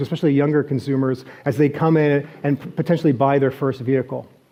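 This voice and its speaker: With a Canadian accent, a man talks at a fairly quick pace in an unremarkable speaking voice with a fairly high pitch. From Canada, Toronto. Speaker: venture investor, conference speaker. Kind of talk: keynote presentation. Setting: stage with audience and live translator. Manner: frequent fillers and restarts.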